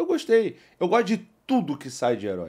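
A man is talking. The background is quiet. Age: 40s. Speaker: podcast host. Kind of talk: casual chat. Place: studio. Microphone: studio mic.

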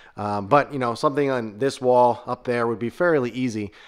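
Against a quiet background, a man talks fairly quickly with ordinary pitch variation. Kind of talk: casual vlog tour narration. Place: garage. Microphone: phone near.

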